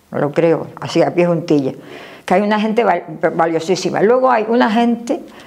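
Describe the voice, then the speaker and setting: A woman at a medium pitch with lively intonation, very even loudness and a moderate pace, noticeable background noise behind her. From Canary Islands (Gran Canaria). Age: 90s. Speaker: elderly local resident interviewee. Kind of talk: interview. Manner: animated.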